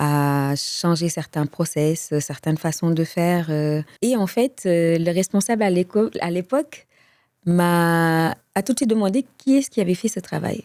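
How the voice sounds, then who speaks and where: Her fairly low pitch and dark, mellow tone carry lively intonation as this woman speaks at a fairly slow pace, on a very clean recording with a silent background and a dry, close sound with no echo. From Senegal. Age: 40s. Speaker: customer service advisor. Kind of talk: interview.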